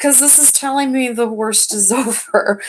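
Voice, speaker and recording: A woman speaks loudly. Her pace is fairly slow. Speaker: tarot reader. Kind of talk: live tarot reading. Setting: livestream.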